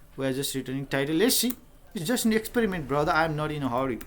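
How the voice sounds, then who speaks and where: With a Nepali accent, a man speaks using ordinary pitch variation. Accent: South Asian (Nepali) English. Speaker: software developer and tutorial creator. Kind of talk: live coding tutorial. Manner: casual, thinking aloud with fillers.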